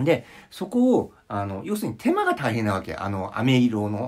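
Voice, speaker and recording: The male speaker's pitch varies in an ordinary way. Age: 50s. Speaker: psychological counselor and vlogger; vlogger. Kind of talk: casual monologue vlog. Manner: rambling with many fillers. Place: home room. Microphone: phone near.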